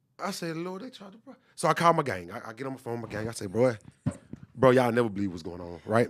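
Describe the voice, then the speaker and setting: In an animated tone, a man with medium pitch is heard in a dry, close sound with no echo. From Texas, Dallas. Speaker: podcast producer and engineer. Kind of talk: casual interview testimony.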